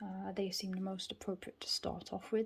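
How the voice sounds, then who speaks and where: This soft-spoken voice comes with a British accent. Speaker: tarot reader.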